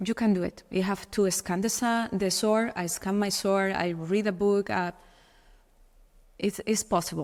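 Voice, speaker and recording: A woman with a Spanish accent speaks at medium pitch and a moderate pace, with fairly even intonation. She leaves long, frequent pauses on a very clean recording with a silent background. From Spain. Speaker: model. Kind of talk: podcast interview. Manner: halting.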